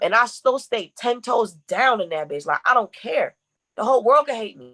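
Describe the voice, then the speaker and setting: With lively intonation and an animated tone, a woman speaks in a fairly high, bright, sharp voice with a dry, close sound with no echo. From Connecticut (Bloomfield), moved to Memphis at 17. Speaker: brand manager and content creator. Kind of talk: podcast interview. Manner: fast talker.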